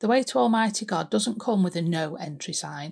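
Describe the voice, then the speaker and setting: A woman with a fairly low, somewhat breathy voice speaks at a fairly quick pace with lively intonation. The recording is very clean, with a silent background. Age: 50s. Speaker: church devotional speaker. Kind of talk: devotional talk.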